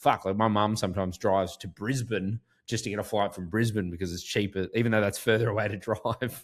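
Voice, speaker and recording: At a very fast pace with hardly any pauses, a man speaks at a fairly low pitch with fairly even intonation. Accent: Australian. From Australia, rural Queensland (Goondiwindi). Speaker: sports podcast host. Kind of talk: casual chat.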